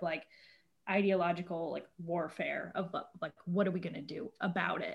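A woman speaks with an American accent at a moderate pace. Her voice is somewhat breathy. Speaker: bartender and nonprofit worker, social media poster. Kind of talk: casual chat. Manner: casual, filler-heavy, laughs often.

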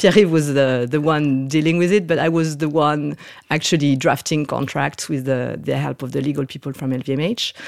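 A woman speaks at a moderate pace in a very deep, low register. Her intonation stays fairly even. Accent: French. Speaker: fashion executive. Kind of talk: casual interview.

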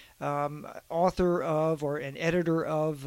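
A man speaks with a fairly high pitch and a flat, monotone delivery. The recording is very clean, with a silent background. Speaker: magazine editor and co-host. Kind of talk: casual podcast conversation.

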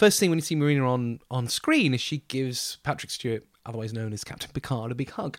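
The pace is fairly quick. The sound is dry and close, with no echo. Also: man, very clean recording, silent background. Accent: southern English. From southern England, Bournemouth. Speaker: theatre director. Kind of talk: interview.

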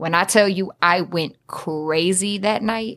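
A woman with a Detroit accent speaks with fairly even intonation on a very clean recording with a silent background. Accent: Detroit urban American English. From US Midwest, Southwest Detroit, Michigan. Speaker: rapper. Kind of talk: casual chat.

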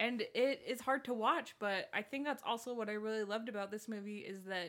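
A woman with an unremarkable speaking voice, fairly high-pitched and fairly quick. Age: 20s. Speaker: podcast co-host. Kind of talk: casual chat.

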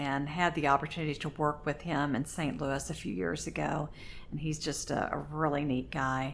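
Speaking at a moderate pace with an American accent, a woman has a very deep, low pitch, vocal fry and ordinary pitch variation. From Oklahoma. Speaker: poet, retired English teacher. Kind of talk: interview.

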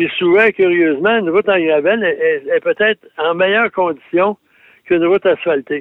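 Speaking with a Quebec accent, a man keeps a moderate pace at a high pitch. His pitch varies in an ordinary way, and his loudness stays very even. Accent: Québécois French. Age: 70s. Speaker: automotive journalist. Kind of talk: radio segment chat.

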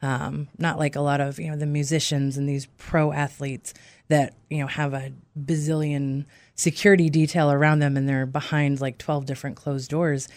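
A woman with a very deep, low pitch speaks in a monotone, flat intonation on a very clean recording with a silent background. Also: moderate pace. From Maine. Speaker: roller derby skater. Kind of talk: casual chat.

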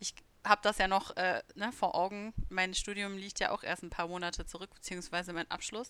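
Her tone is bright and sharp at a medium pitch, with big swings in loudness. This woman talks at a fairly quick pace with monotone, flat intonation. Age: 20s. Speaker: podcast co-host, youth worker. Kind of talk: casual chat.

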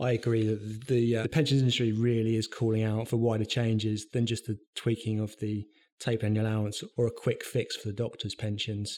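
On a very clean recording with a silent background, a man at medium pitch talks at a fairly quick pace with hardly any pauses and a monotone, flat intonation. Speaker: pensions tax consultant. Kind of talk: professional interview.

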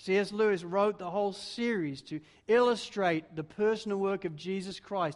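The voice reads aloud. It is an unforced reading voice.

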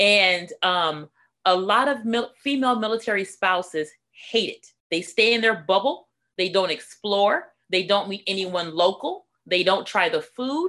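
A woman with an American accent, medium pitch, a bright, sharp tone, ordinary pitch variation and a fairly slow pace. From Los Angeles, California. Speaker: military spouse and community speaker. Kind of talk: radio interview. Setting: remote call.

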